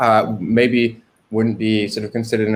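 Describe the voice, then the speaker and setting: Speaking with an English accent, the man uses a medium pitch. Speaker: filmmaker. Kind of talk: interview on a livestream. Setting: livestream. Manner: hesitant, many fillers.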